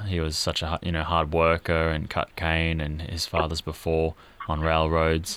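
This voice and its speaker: Speaking at a fairly slow pace with an Australian accent, a man has a very deep, low pitch and monotone, flat intonation. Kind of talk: casual interview chat.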